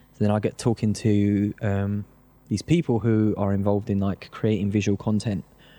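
A man with a South London accent, fairly low-pitched, dark and mellow in tone, at a moderate pace with fairly even intonation, dry and close with no echo, on a very clean recording with a silent background. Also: very even loudness. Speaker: grime producer and DJ. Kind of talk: casual interview chat.

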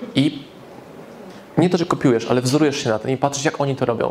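With noticeable background noise, a man speaks at a very fast pace and a medium pitch. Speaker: business speaker and author. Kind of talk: live lecture to audience. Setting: stage with audience. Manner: animated.

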